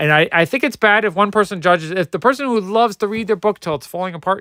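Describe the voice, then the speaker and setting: A man's high, bright, sharp voice, raised and projected, animated and very fast, dry and close with no echo on a very clean, silent recording. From New Jersey, US. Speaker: comic book collector streamer. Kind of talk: livestream commentary. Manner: casual, animated.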